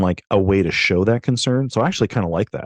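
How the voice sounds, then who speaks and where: A man at a very fast pace, ordinary pitch variation, dry, close sound with no echo, and a quiet background. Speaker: podcast co-host. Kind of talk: casual Bible discussion.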